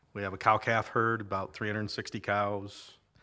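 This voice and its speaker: A man with an American accent speaks at a moderate pace in a fairly low voice with a bright, sharp tone. The recording is very clean, with a silent background. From Iowa, US Midwest. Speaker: farmer. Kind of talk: casual interview.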